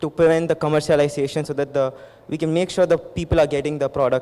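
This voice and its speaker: With an Indian accent, a man talks at a fairly quick pace in a fairly high pitch. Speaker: medical student. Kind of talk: audience question. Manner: hesitant; fast.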